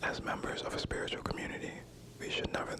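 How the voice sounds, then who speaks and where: Fairly quick whispering against noticeable background noise. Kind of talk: ASMR whispered reading of spiritual text. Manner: whispered.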